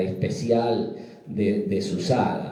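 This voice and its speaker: Audible room echo surrounds a man speaking at a medium pitch with very wide pitch swings. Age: 60s. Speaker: psychiatrist presenting a book. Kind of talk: book presentation talk. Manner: halting, repetitive fillers.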